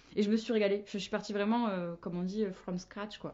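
The woman has an ordinary speaking voice at a medium pitch, and her intonation stays fairly even. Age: 20s. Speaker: marketing manager. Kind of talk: casual chat.

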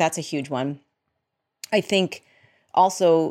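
A woman's ordinary speaking voice with an American accent, fairly low in pitch with ordinary pitch variation, on a very clean recording with a silent background. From Massachusetts. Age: 40s. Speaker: journalist and editor. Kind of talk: interview conversation.

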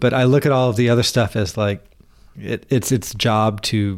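With a Southern US accent, a man talks at a moderate pace in fairly even intonation on a very clean recording with a silent background. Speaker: podcast host. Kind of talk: casual chat.

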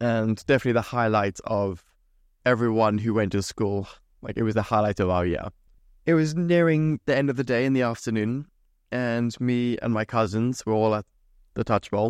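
With a Zimbabwean accent, a man speaks at medium pitch and a moderate pace, his pitch varying in an ordinary way. The sound is dry and close with no echo, against a quiet background. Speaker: podcast host and painter decorator. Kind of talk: casual storytelling monologue. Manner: animated.

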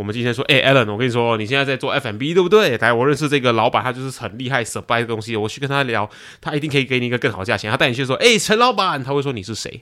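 Speech comes at a very fast pace with hardly any pauses and ordinary pitch variation. The tone is bright and sharp. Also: man, medium pitch for a man. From Malaysia. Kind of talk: casual chat.

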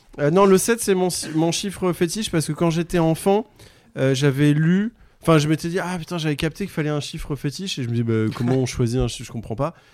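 At a fairly quick pace, a man with an unremarkable speaking voice and fairly high pitch talks with lively intonation. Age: 40s. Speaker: comedian. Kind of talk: casual chat.

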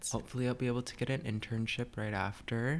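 A man talks at a very fast pace with an American accent. His pitch is medium, with ordinary pitch variation. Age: 20s. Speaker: student, guest. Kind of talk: casual chat.

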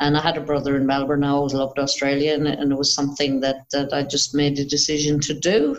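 With an Irish accent, a woman talks in a very deep, low pitch and a monotone, flat intonation. Her pace is very fast, with hardly any pauses. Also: very even loudness. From Ireland. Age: 50s. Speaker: boxing coach and psychologist. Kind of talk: interview.

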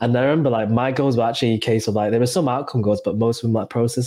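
This man talks at a very fast pace. His pitch is medium and his intonation fairly even. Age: 20s. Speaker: podcast host and fitness coach. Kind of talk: casual chat.

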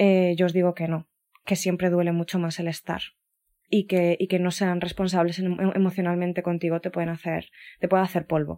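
A woman's dark, mellow tone in a flat monotone, on a very clean recording with a silent background. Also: fairly low pitch for a woman, moderate pace. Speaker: podcast host. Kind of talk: solo personal monologue. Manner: hesitant, many fillers.

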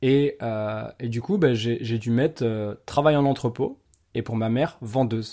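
In a very clean recording with a silent background, a man with a dark, mellow tone speaks at a fairly slow pace. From Paris region, France. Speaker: podcast host. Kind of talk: casual interview chat.

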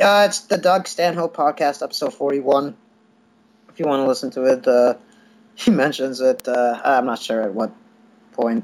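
A man speaks at a moderate pace in a fairly high voice. He leaves long, frequent pauses. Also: lively intonation. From US Midwest, Chicago area. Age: 30s. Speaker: stand-up comedian. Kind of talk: casual interview.

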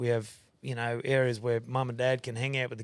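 In a very clean recording with a silent background, a man with a strong Australian accent and medium pitch speaks at a fairly quick pace in a monotone, flat way. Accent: broad Australian. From Queensland, Australia. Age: 40s. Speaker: rodeo owner and concreter. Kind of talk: casual chat.

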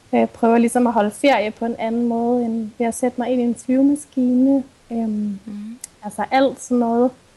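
A woman's flat, monotone delivery at a moderate pace. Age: 20s. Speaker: sustainability blogger and psychology student. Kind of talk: interview.

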